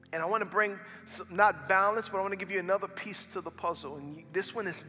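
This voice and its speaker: Pitched high, a man's voice comes out raised and projected. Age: 40s. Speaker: pastor. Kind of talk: sermon. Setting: church. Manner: animated.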